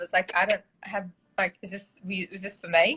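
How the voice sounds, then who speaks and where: With an Australian accent, a woman speaks at a moderate pace in a bright, sharp tone. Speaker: therapist. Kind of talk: casual chat.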